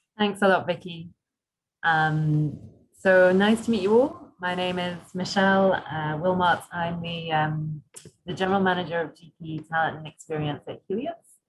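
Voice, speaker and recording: The voice is somewhat breathy, with ordinary pitch variation and big swings in loudness. It moves at a moderate pace. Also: woman, fairly low pitch for a woman. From UK. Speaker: doctor and recruitment manager. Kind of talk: webinar presentation.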